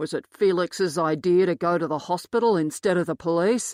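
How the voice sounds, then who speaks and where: A raspy, put-on character voice moves at a moderate pace with ordinary pitch variation. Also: woman, fairly low pitch for a woman. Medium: read story. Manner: menacing.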